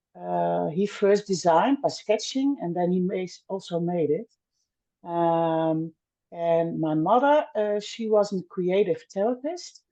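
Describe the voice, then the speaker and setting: At a fairly slow pace, a woman with a Dutch accent speaks in a dark, mellow tone at medium pitch. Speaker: milliner. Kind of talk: podcast interview. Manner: halting, many fillers.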